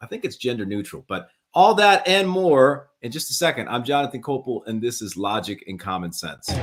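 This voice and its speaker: Speaking at a moderate pace with an American accent, a man lets his pitch swing very widely. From US South, New Orleans area. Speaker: talk show host, former Spanish teacher. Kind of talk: live talk show interview. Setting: live stream.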